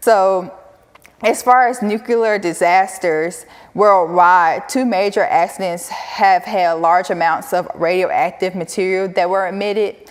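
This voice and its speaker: A woman's medium-pitched voice in a Southern US accent, with fairly even intonation. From US South. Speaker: podcast co-host. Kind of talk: casual chat. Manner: halting.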